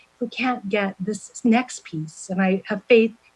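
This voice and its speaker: The speaker is a woman with a somewhat breathy voice. Her intonation stays fairly even. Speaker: census outreach official presenting to commission. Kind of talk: presentation to public commission meeting. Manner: fast.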